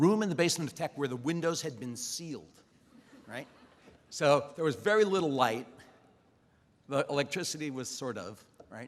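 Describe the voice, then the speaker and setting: A man with an American accent talks at a fairly quick pace and a fairly high pitch. His voice has vocal fry and very wide pitch swings. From US Midwest, Cleveland, Ohio. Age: 70s. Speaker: dean and chemistry professor. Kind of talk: commencement speech. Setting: outdoor stadium with audience. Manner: conversational, informal.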